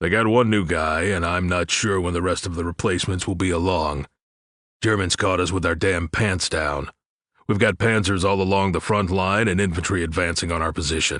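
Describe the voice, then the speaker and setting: Against a quiet background, a man puts on a character voice with a very deep, low pitch at a fairly quick pace. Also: fairly even intonation. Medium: read story.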